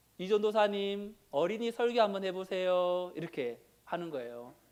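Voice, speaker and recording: A man speaks at a high pitch and moderate pace. His intonation is lively. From Daegu region, South Korea. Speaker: pastor. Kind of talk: sermon. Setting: church.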